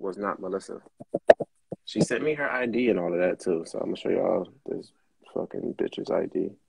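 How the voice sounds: Low in pitch, a man speaks with a husky, rough edge, vocal fry and a slightly mellow tone. His intonation is lively and his pace moderate.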